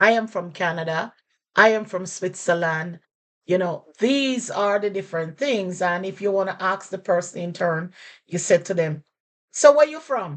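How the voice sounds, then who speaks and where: A woman in a Jamaican accent speaks at a moderate pace and a medium pitch, her intonation lively and her loudness swinging widely. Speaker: language teacher. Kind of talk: casual lesson to camera.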